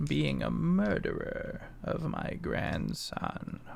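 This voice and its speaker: Putting on a character voice, a man speaks at a very slow pace over clear background noise. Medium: actual play. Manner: grave, cryptic.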